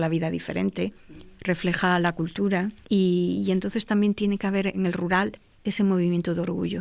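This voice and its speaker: With a plain, everyday voice, a woman talks at a fairly quick pace and a fairly low pitch. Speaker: panel guest. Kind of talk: panel conversation.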